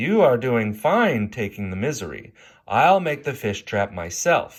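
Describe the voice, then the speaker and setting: In a put-on character voice, a man speaks at a fairly slow pace. His pitch swings very widely on a very clean recording with a silent background. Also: medium pitch for a man. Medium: read story.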